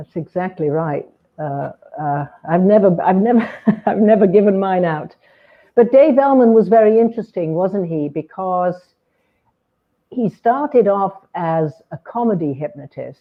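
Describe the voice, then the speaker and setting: Her intonation is lively, and she speaks at a fairly slow pace with long, frequent pauses. The woman's pitch is medium. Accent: British. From Britain. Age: 70s. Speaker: hypnotherapist. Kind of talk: interview conversation.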